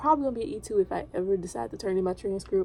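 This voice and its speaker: This is a woman. She is whispering. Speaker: navy recruit vlogger. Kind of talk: casual vlog. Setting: hotel front desk office at night.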